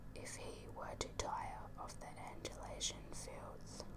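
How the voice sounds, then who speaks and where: The voice is a whisper. Background noise is noticeable throughout. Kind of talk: audiobook-style book reading; ASMR whisper reading. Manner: whispered.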